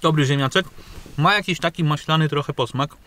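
The man's bright, sharp tone comes across at a fairly quick pace in a dry sound with no echo. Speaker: food reviewer. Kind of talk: casual vlog chat, food review. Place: car. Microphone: phone near.

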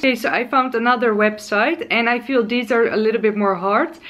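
A woman with a Dutch accent speaks at a moderate pace with a fairly high pitch, a cheerful tone and lively intonation. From Netherlands. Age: 20s. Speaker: lifestyle and beauty vlogger. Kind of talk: casual vlog tutorial. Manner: hesitant, frequent filler sounds; cheerful, laughs often. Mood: playful, hesitant when pronouncing. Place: home room.

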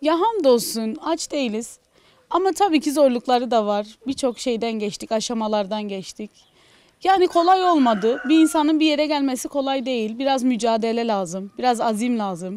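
In a dry sound with no echo, a woman speaks at a high pitch with lively intonation. Her pace is moderate, and light background noise can be heard. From Gaziantep city, Turkey; Turkey. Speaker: farmer's wife and livestock farmer; interviewee. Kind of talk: interview. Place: farm machine. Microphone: handheld.

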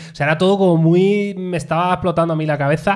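A man talks in an animated tone. The background is quiet. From Spain. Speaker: tech podcast host; podcast host. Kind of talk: casual chat. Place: studio. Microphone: studio mic.

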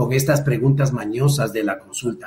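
A man with a fairly high pitch speaks in a somewhat breathy voice over light background noise. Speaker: lawyer and political commentator; lawyer, political commentator. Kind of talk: political discussion. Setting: video call. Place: home room. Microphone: webcam.

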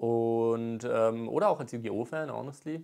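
A man speaks in a medium pitch. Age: 20s. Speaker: YouTuber and aspiring rapper; YouTuber. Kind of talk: vlog monologue rant. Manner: casual, hesitant with many fillers. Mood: earnest, determined. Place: home room. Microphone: lapel.

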